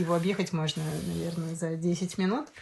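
A woman speaks at a fairly quick pace. Her voice is somewhat breathy, with ordinary pitch variation. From Sosnovy Bor, Leningrad region, Russia. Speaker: podcast guest, storyteller. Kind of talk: casual chat.

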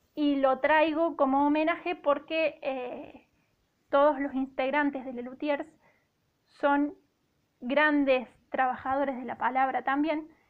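Long, frequent pauses break up a woman's very slow, monotone, flat delivery at a high pitch, with big swings in loudness. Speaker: radio literature columnist. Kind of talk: radio column. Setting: radio studio.

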